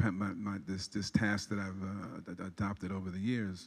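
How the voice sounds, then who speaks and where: The recording of this man with an American accent is very clean, with a silent background. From New York City (South Bronx). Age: 60s. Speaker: public health physician and speaker. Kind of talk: public presentation.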